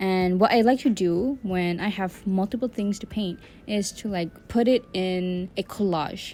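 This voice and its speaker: With a non-native accent, a woman speaks at medium pitch in a dark, mellow tone. Her pace is moderate and her intonation fairly even, on a very clean recording with a silent background. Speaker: digital artist. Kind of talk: tutorial voice-over. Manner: casual, rambling.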